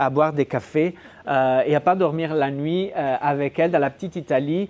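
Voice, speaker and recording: A quiet background lies beneath speech delivered at a moderate pace. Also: man. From northern Italy (Gallo-Italic dialect region). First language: Gallo-Italic Italian dialect (speaking French). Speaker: sociolinguistics researcher. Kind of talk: academic lecture. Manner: hesitant, many fillers and repetitions.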